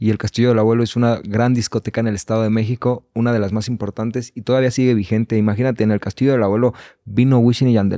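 The voice is dark and mellow, flat and monotone, moving at a very fast pace over a quiet background. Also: man. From Mexico, Valle de Chalco (State of Mexico); State of Mexico. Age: 20s. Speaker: reggaeton singer and songwriter; podcast guest. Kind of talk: casual chat. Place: studio. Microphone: studio mic.

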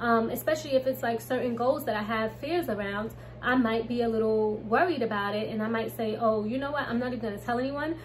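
Speaking with an American accent, a woman moves at a fairly quick pace with ordinary pitch variation. Light background noise is present. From US Northeast, Brooklyn, New York; New York. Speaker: YouTuber, manifestation coach; manifestation coach. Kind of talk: casual tutorial vlog. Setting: home. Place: home room. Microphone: phone near.

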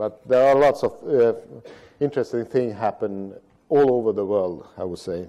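A man with a Swedish accent speaks with ordinary pitch variation. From Sweden. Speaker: road safety strategist. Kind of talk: lecture. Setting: stage with audience. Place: stage. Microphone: podium.

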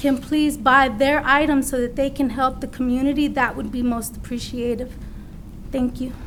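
The speech moves at a moderate pace in a monotone, flat intonation, with audible room echo. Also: woman. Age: 30s. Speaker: public commenter. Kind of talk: public comment.

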